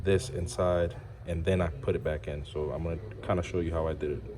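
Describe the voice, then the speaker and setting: A quiet voice speaks at a moderate pace. Audible room echo surrounds it. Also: man. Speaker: car enthusiast YouTuber. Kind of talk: tutorial. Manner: quiet, subdued; casual, conversational.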